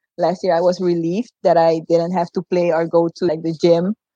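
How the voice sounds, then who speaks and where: In a Surinamese accent, a woman talks at a moderate pace with a fairly low pitch and a dark, mellow tone, the sound dry and close with no echo. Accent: Surinamese Caribbean English. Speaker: former volleyball player and coach. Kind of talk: casual interview chat. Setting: live-streamed video call.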